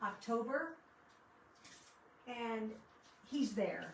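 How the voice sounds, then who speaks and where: Woman with ordinary pitch variation, audible room echo around her. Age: 60s. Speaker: craft livestreamer. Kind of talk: casual chat during live crafting stream. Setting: livestream. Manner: chatty, conversational.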